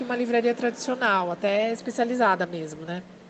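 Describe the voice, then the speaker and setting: A woman speaks at a fairly high pitch against noticeable background noise. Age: 30s. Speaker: comic bookstore owner. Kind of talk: casual interview.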